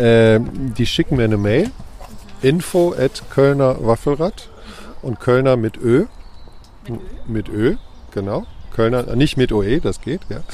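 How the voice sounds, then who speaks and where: Noticeable background noise surrounds a man talking at a very slow pace. He leaves long, frequent pauses. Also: medium pitch for a man, ordinary pitch variation. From Cologne, Germany. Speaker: street food vendor. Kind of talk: casual interview. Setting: outdoor weekly market.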